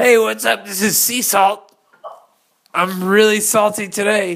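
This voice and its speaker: In a put-on character voice, the speaker sounds raspy, fairly high in pitch and fairly slow. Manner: silly, playful.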